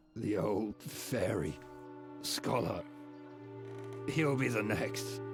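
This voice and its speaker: Over clear background music, a man in a put-on character voice speaks raspy and fairly low-pitched at a very slow pace. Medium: machinima.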